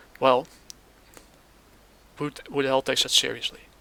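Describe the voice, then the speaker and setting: Monotone, flat intonation pairs with a bright, sharp tone in this non-native accent. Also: man. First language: not English. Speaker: gaming commentator. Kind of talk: casual commentary reacting to clips. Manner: hesitant, halting.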